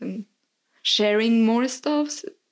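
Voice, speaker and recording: The speaker is a woman. She has a Spanish accent. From Mexico. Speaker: podcast guest. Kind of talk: casual chat.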